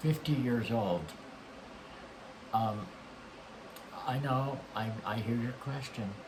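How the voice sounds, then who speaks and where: Through noticeable background noise, a man speaks at a very slow pace and medium pitch with ordinary pitch variation and long, frequent pauses. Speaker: talk show host. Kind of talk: interview host talk.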